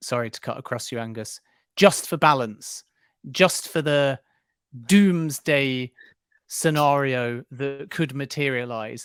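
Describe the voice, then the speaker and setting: Speaking very slowly with a slight Scottish accent, a man with a fairly high pitch and ordinary pitch variation leaves long, frequent pauses, his loudness swinging widely in a dry, close sound with no echo. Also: very clean recording, silent background. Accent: slight Scottish twang. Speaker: football podcast co-host. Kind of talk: casual chat.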